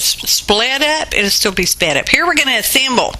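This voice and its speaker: Lively in intonation, a woman talks at a moderate pace in a Southern US accent. There's noticeable background noise. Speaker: mixed media artist, craft video creator. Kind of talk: craft tutorial voiceover. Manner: casual, chatty.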